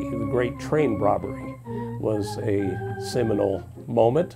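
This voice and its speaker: A man speaks while clear music plays in the background. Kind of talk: interview answer. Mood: calm, reflective. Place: home room. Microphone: lapel.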